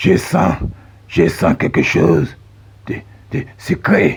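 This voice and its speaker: A man's put-on character voice, very deep and low, raspy, at a very slow pace. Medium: read story. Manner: whiny, gluttonous.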